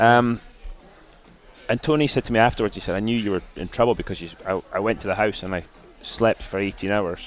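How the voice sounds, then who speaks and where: A man with a Scottish accent at a fairly low pitch, ordinary pitch variation and a fairly quick pace broken by long, frequent pauses, with music in the background. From Scotland. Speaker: retired racing driver. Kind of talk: interview answer.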